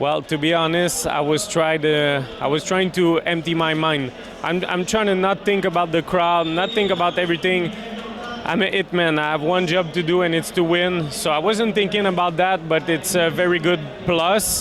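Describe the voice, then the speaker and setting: A man with a high-pitched voice speaks at a moderate pace, his loudness very even and his intonation fairly even, over noticeable background noise. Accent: Quebec. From Quebec. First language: French. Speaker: MMA fighter. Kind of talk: post-fight interview. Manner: halting, many fillers.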